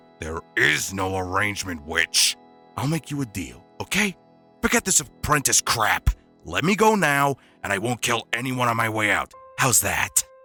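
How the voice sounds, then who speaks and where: Using a put-on character voice, a man speaks at medium pitch and a moderate pace. Faint music plays in the background. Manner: rough, defiant.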